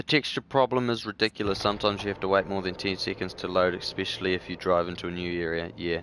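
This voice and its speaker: Talking very fast with hardly any pauses, a man with a New Zealand accent speaks at a very deep, low pitch. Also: ordinary pitch variation. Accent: New Zealand accent, noticeable to viewers. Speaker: gaming streamer. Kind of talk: live gameplay stream, reading chat. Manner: casual, many filler words.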